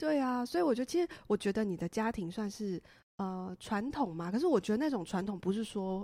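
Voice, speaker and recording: A woman talks at a fairly quick pace with lively intonation. Her fairly high voice has a dark, mellow tone. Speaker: podcast host. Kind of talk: casual chat.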